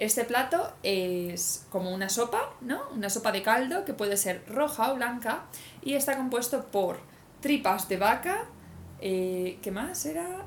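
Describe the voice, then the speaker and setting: A woman with a fairly high voice speaks fairly slowly, with very wide pitch swings. Noticeable background noise and audible room echo fill the recording. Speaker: cycle-touring podcast host. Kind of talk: casual chat.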